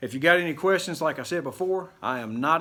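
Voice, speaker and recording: Bright, sharp male tone at a fairly quick pace with ordinary pitch variation. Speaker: woodworking YouTuber. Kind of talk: tutorial. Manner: fast; casual, rambling.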